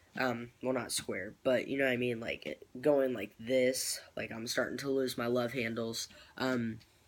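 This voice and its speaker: Monotone and flat, a man of medium pitch talks at a fairly slow pace. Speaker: vlogger. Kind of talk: casual vlog. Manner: rambling with many fillers.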